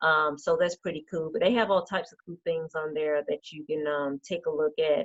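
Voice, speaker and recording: With a Georgia accent, a woman speaks at a fairly low pitch with ordinary pitch variation. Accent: Southern American (Georgia). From Decatur, Georgia, USA. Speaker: state representative and small business advocate. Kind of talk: interview answer.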